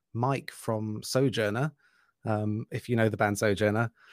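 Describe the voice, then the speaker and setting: A man with an English accent talks at a moderate pace, his medium-pitched voice fairly even in intonation. The recording is very clean with a silent background and a dry, close sound with no echo. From England. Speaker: metal musician. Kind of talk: casual interview.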